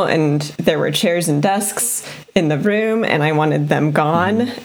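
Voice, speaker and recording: A woman with a fairly low pitch and ordinary pitch variation, amid noticeable background noise. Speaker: podcast co-host.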